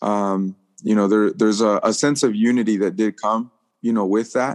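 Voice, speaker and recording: Speaking at a fairly quick pace, a man has a fairly low, plain, everyday voice, recorded with a dry, close sound with no echo against a quiet background. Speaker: pastor and soccer chaplain. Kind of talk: casual group chat.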